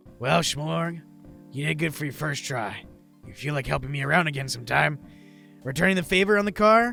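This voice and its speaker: A man's gruff, raspy put-on character voice, fairly high and fairly quick, with lively intonation, long, frequent pauses and faint music in the background. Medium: game stream. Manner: wisecracking, gruff, a bit nervous.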